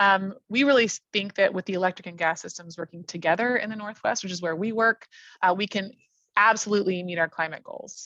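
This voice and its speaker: In a dry, close sound with no echo and a quiet background, a woman speaks fairly quickly in a medium pitch with a bright, sharp tone, ordinary pitch variation and big swings in loudness. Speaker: utility environmental policy director. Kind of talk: webinar presentation. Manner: fast; hesitant, many fillers.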